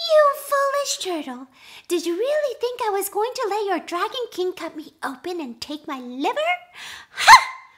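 A put-on character voice at an extremely high pitch moves at a moderate pace with very wide pitch swings. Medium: read story. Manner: polite, humble, then mocking.

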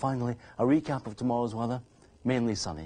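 A man's medium-pitched voice with a slightly mellow tone and a slightly husky edge, at a moderate pace.

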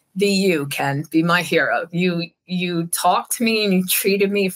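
At a moderate pace, the voice carries a fairly bright tone and ordinary pitch variation. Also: woman.

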